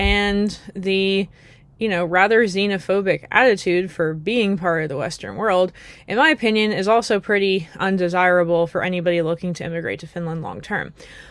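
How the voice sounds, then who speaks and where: In a plain, everyday voice with an American accent, a woman speaks at a moderate pace with ordinary pitch variation on a very clean recording with a silent background. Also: medium pitch for a woman. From United States. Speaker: YouTuber. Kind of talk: casual vlog monologue. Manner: conversational with frequent fillers.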